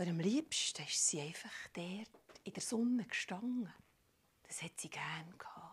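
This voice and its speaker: A fairly slow voice in a Swiss accent, broken by long, frequent pauses. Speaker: storyteller. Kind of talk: improvised storytelling. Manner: animated.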